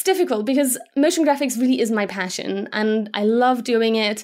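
A woman with a high pitch talks at a moderate pace, with hardly any pauses. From Germany. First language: Slovak. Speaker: motion graphics designer. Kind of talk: interview.

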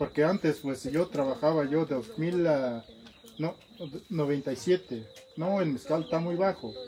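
Over noticeable background noise, the speaker goes at a fairly slow pace with lively intonation. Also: man. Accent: Oaxacan. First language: Zapotec (speaking Spanish). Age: 30s. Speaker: master mezcal maker. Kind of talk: interview. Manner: halting.

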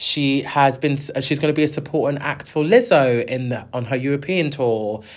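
This man speaks at a moderate pace in a South London accent. His pitch variation is ordinary. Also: very clean recording, silent background. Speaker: music podcast host. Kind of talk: solo commentary. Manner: animated.

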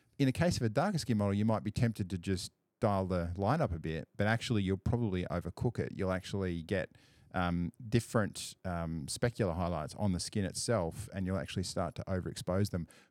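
In an Australian accent, a man with a very deep, low pitch and ordinary pitch variation talks at a fairly quick pace on a very clean recording with a silent background. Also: dry, close sound with no echo. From rural Australia. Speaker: photographer. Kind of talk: casual chat. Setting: studio.

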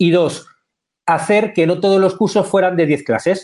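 Using lively intonation, a man with a high pitch speaks at a moderate pace. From Spain. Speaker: screenwriter and teacher. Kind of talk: interview.

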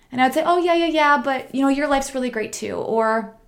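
With a Midwestern American accent, a woman speaks high-pitched at a fairly quick pace. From US Midwest. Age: 30s. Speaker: podcast host and meditation teacher. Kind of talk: solo podcast monologue. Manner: casual, conversational.

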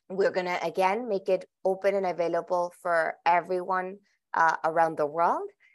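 A woman with a Spanish accent speaks at a moderate pace and a medium pitch. Her intonation is fairly even, and her loudness stays very even. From Colombia, Bogota. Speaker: venture capitalist. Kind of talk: interview. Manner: halting, many repetitions.

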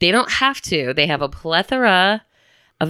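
A woman with an American accent talks in an animated, bright, sharp tone with lively intonation and vocal fry. The recording is very clean, with a silent background. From Chicago, US Midwest. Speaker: podcast co-host. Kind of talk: casual chat. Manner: animated, laughing often.

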